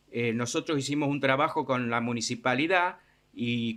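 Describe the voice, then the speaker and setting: A man speaks at medium pitch and a fairly slow pace. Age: 60s. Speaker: charity volunteer for homeless people. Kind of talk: interview. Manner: halting, many fillers.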